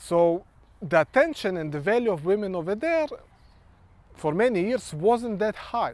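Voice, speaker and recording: A man with a Ukrainian accent speaks in a high voice, his pitch swinging very widely. He leaves long, frequent pauses. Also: moderate pace. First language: Ukrainian or Russian. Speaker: social worker and vlogger. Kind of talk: monologue vlog. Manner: halting.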